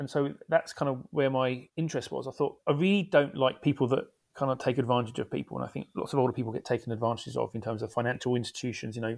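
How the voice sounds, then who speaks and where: A man at medium pitch, speaking at a very fast pace. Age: 40s. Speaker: game creator. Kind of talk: interview.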